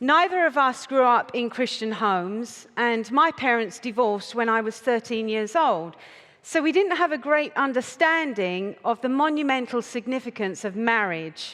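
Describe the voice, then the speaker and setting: With an English accent and lively intonation, a woman talks at a moderate pace in a fairly high pitch against a quiet background. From United Kingdom. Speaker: conference speaker. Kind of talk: talk to a live audience. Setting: stage with audience.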